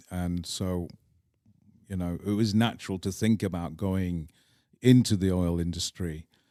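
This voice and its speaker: Fairly even intonation in a dark, mellow tone with an English accent, at a fairly slow pace with long, frequent pauses. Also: man, very deep, low pitch for a man. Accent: English accent (noted in Scotland). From northern England, Manchester. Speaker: polo club owner. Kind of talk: interview conversation.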